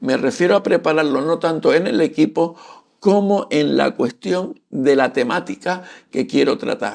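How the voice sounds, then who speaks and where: The recording is very clean, with a silent background. A man with a high pitch speaks at a fairly slow pace, his intonation lively. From Canary Islands, Santa Cruz de Tenerife. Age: 60s. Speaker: photography and culture YouTuber, retiree. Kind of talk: casual channel introduction talk to camera. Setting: home studio. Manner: halting, with fillers and repetitions.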